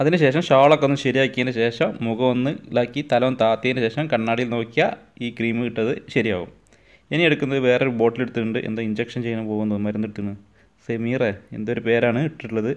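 His intonation is fairly even and his pitch medium. The man has a plain, everyday voice. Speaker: husband doing a comedic voiceover for his wife's makeup video. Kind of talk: humorous commentary voiceover over a video. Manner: playful, joking, teasing.

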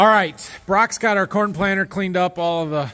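A man speaks at a moderate pace. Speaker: farmer vlogger. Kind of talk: casual vlog chat. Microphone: phone near.

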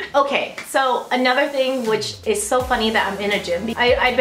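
A woman with a high-pitched voice at a moderate pace, with light background noise and audible room echo. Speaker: vlogger. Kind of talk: casual vlog chat. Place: gym. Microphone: phone near.

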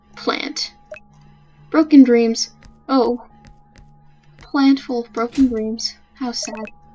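With music in the background, a woman speaks very slowly in a high voice, leaving long, frequent pauses. Her intonation is fairly even, though her loudness swings widely. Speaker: let's play gamer. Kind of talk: casual gameplay commentary.

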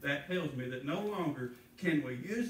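A man speaks at a moderate pace with lively intonation and a fairly high pitch. Room echo is audible, and there is light background noise. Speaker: preacher. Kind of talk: sermon. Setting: church. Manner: earnest, pleading, pausing to stress points. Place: church. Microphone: camera far.

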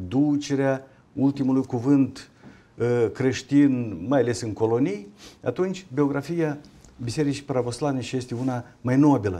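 This man talks at a fairly slow pace in a dark, mellow tone with ordinary pitch variation. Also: medium pitch for a man. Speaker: university rector. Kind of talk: panel discussion on TV. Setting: studio. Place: studio. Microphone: lapel.

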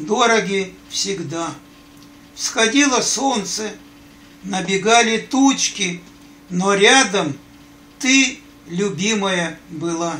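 A man's high-pitched, raised and projected voice at a very slow pace, with ordinary pitch variation and long, frequent pauses. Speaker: grandfather. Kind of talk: reading aloud. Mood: tender, sentimental. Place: home room. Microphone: phone near.

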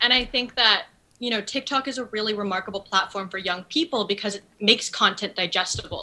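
Speaking at a fairly quick pace in an American accent, a woman uses a plain, everyday voice, fairly high in pitch with ordinary pitch variation. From US Northeast (New Haven, Connecticut). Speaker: TikTok creator. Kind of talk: casual interview chat.

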